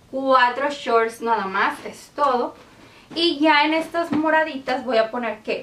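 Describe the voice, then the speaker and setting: Ordinary pitch variation runs through the speech. The pace is very slow. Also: woman. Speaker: home organizing vlogger. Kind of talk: casual tutorial vlog chat. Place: home room.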